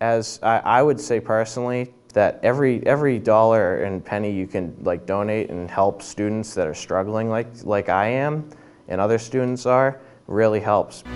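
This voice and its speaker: A man talks in a normal speaking voice at a medium pitch. He moves at a moderate pace with ordinary pitch variation. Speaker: student. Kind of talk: testimony.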